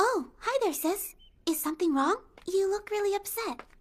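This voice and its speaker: Putting on a squeaky character voice with an extremely high pitch, a woman speaks at a moderate pace with lively intonation and very even loudness. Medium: fan dub.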